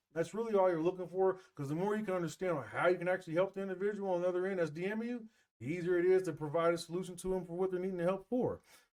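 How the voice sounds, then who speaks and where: This man's voice is high-pitched and very fast, with hardly any pauses. His intonation stays fairly even. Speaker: business coach / AI marketing presenter. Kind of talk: live webinar presentation. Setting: live video stream with screen share. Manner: casual, conversational.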